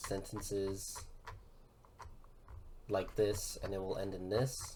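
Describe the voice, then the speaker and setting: The voice is soft-spoken and very slow. Long pauses come often. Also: man. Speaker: university engineering student. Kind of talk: class lab presentation.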